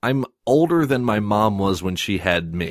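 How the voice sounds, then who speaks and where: In a very clean recording with a silent background and a dry, close sound with no echo, a man with a plain, everyday voice speaks at a fairly slow pace, with a fairly low pitch and lively intonation. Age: 20s. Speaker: podcast host. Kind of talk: casual chat.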